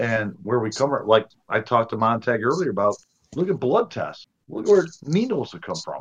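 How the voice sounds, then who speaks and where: A man talks in an unremarkable speaking voice at a medium pitch. His intonation is lively. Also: moderate pace. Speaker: podcast co-host. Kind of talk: casual chat about a horror film. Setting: video call.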